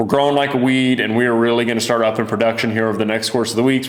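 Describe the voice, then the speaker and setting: A man at a medium pitch and a very fast pace, with audible room echo and noticeable background noise. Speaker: fishing lure maker and channel host. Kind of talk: casual product video talk. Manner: animated.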